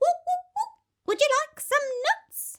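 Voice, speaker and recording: A squeaky, put-on character voice speaks at an extremely high pitch and a fairly slow pace. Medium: read story.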